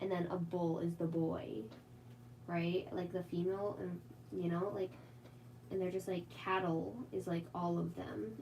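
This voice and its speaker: A woman with an American accent speaks at a fairly low pitch with very even loudness. Her speech has long, frequent pauses. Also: ordinary pitch variation, fairly slow pace. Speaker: artist streaming live drawing. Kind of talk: casual live stream chat while drawing. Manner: casual, many filler words; tries to enunciate clearly.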